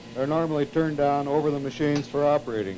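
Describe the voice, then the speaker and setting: A man speaks at a fairly quick pace in a fairly high pitch, over light background noise. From US. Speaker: television engineer giving a tour. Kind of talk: vintage training film narration, a guided tour demonstrating equipment to students. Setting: studio tape room, filmed tour. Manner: formal, measured, explanatory; didactic, with occasional 'uh' pauses.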